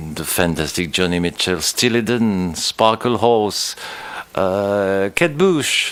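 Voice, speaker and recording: Very slowly and at a fairly low pitch, a man talks with ordinary pitch variation against noticeable background noise. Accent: French. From France. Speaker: musician. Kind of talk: interview.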